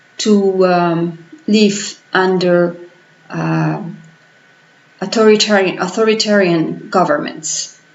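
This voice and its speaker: A woman's medium-pitched voice, fairly even in intonation and very slow, with audible room echo and noticeable background noise. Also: long, frequent pauses. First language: Spanish. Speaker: political vlogger. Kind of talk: vlog commentary. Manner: halting.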